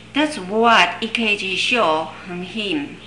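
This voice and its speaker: Over noticeable background noise and audible room echo, a woman talks. Her pitch is fairly high and her intonation lively. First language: Chinese. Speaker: Chinese herbal medicine teacher. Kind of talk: lecture. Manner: halting, many fillers.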